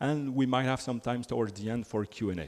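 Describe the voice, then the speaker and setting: A man with a French accent at a fairly quick pace. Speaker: software developer advocate. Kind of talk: conference talk.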